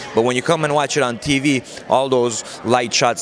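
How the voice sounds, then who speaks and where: A man talks with an Armenian accent. There is noticeable background noise. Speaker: boxing trainer. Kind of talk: interview. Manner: conversational, many fillers.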